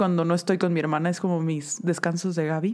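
A woman speaks over noticeable background noise. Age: 30s. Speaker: podcast co-host. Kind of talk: casual chat.

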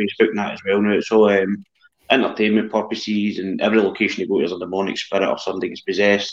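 A man's flat monotone at a fairly low pitch, with a Scottish accent and music in the background. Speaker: paranormal investigator. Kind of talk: casual chat. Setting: video call.

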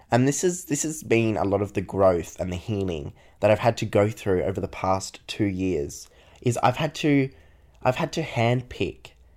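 An ordinary speaking voice from a fairly low-pitched man, lively intonation, moderate pace, very clean recording with a silent background. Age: 20s. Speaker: solo podcaster, university student. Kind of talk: casual personal monologue.

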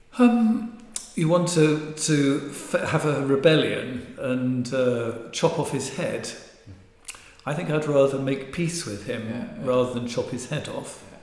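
A man in an English accent, fairly high pitch, very slow pace and lively intonation, with audible room echo and noticeable background noise. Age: 60s. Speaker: marital therapist and author. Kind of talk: interview.

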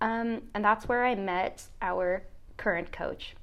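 A woman speaks in an ordinary speaking voice at a medium pitch, keeping her intonation fairly even. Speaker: podcast host, college tennis player. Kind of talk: casual chat.

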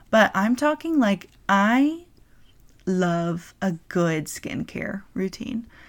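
Against a very clean recording and silent background, a woman with an American accent talks at a very slow pace, her medium pitch making very wide swings. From North Carolina. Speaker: podcast host. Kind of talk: casual monologue. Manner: hesitant, many fillers.

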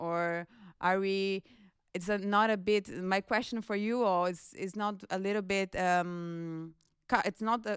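A woman with a Brazilian accent in a very clean recording, the background silent. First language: Portuguese. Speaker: international office staff. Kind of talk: panel discussion.

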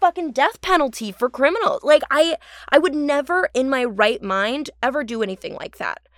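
An American accent marks this woman's fairly quick speech. Her pitch swings very widely, and the sound is dry and close with no echo. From Orange County, California. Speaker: actor. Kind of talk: casual chat. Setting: remote call.

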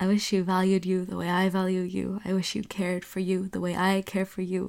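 The recording is very clean, and the background is silent. A woman talks at a medium pitch. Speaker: spoken word poet. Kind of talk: poetry reading.

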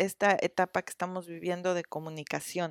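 A woman's voice comes through with a dry, close sound and no echo. The recording is very clean, with a silent background. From Mexico, Cuernavaca. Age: 40s. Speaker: psychotherapist. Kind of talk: interview. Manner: halting, many fillers and repetitions.

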